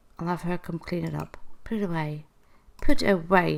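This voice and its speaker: A woman speaks at a moderate pace with vocal fry and very wide pitch swings. The recording is very clean, with a silent background. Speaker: gaming youtuber. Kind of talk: gameplay tour commentary. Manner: halting, stuttering; casual, chatty.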